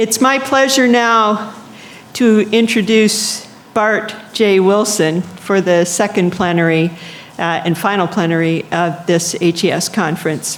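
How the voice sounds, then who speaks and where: Noticeable background noise accompanies a woman speaking. Her medium pitch shows ordinary variation at a fairly slow pace. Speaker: conference session chair. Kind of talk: speaker introduction.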